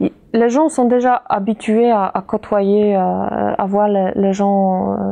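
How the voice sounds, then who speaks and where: In a Polish accent, a woman speaks very slowly at a medium pitch, with fairly even intonation and very even loudness. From Poland, Kraków. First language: Polish (speaking French). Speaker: interviewee, immigrant mother. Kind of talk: interview. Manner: halting, many hesitations.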